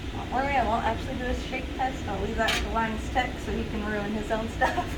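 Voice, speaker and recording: Mumbling at a fairly quick pace, a woman is heard through audible room echo and noticeable background noise. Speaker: content creator. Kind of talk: tutorial. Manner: soft-spoken.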